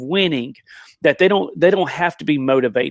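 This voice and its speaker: Very fast speech with lively intonation and an American accent. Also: man. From rural US. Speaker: motivational speaker. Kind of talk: live stream panel chat. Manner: animated.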